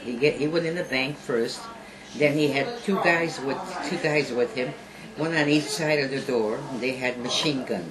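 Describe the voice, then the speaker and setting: A woman's very deep, low voice at a moderate pace, with audible room echo and noticeable background noise. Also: ordinary pitch variation. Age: 80s+. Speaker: eyewitness. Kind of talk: interview.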